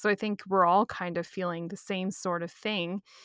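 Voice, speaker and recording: Very clean and dry, with a silent background, a close sound and no echo, this is an unremarkable speaking voice with fairly even intonation. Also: woman. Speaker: podcast co-host. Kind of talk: casual chat.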